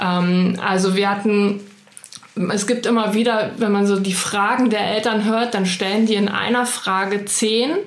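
A woman speaks at a medium pitch and a fairly slow pace, in a monotone, flat intonation with very even loudness. Audible room echo and noticeable background noise fill the recording. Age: 30s. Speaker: early childhood educator. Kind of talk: casual interview.

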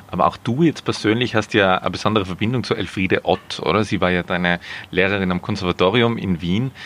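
Against noticeable background noise, a man talks at a very fast pace and a fairly low pitch, with ordinary pitch variation and very even loudness. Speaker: podcast host. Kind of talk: interview. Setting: outdoors in a garden.

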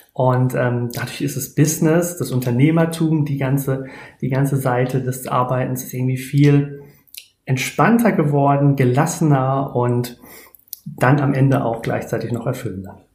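A man with a medium pitch and a somewhat breathy voice speaks at a moderate pace. His intonation is fairly even, and room echo is audible. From Germany, near Speyer (Palatinate). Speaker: human design coach. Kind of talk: podcast interview.

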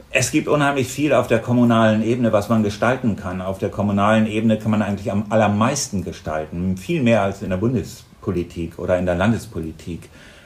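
The speech runs at a very fast pace with hardly any pauses and ordinary pitch variation, against noticeable background noise. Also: man, fairly low pitch for a man. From northern Germany, Lower Saxony. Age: 50s. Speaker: mayor and candidate. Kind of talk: interview.

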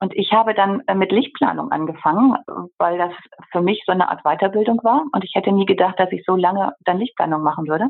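A woman with a normal speaking voice talks at a fairly quick pace and medium pitch, with lively intonation. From Germany, Bergisches Land. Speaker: interior architect. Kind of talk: interview.

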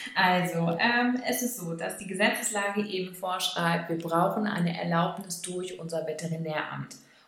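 Delivered at a moderate pace with ordinary pitch variation, the speech carries audible room echo and noticeable background noise. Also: woman. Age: 30s. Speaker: dog trainer school director. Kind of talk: interview.

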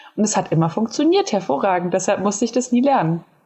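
Noticeable background noise sits under a woman whose intonation is lively. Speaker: podcast co-host. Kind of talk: casual chat.

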